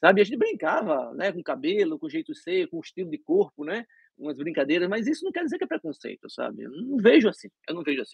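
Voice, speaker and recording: In a dry, close sound with no echo, a man with a high pitch races along at a very fast pace with hardly any pauses, very wide pitch swings, and big swings in loudness. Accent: Brazilian. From Brazil (Recife). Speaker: dentist. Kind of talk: interview. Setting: live stream.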